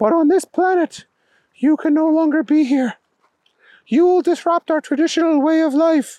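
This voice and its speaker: A squeaky, high-pitched put-on character voice at a moderate pace, with long, frequent pauses. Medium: read story. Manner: formal, commanding.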